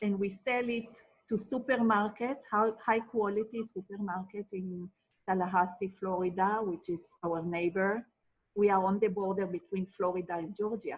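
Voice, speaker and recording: At a moderate pace, a woman with an Israeli accent speaks in a somewhat breathy, medium-pitched voice with fairly even intonation. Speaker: marriage and family therapist. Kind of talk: interview.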